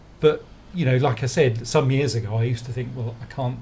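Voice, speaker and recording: Somewhat breathy, a man speaks at a very fast pace with fairly even intonation. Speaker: creative designer at a marketing agency. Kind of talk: podcast interview.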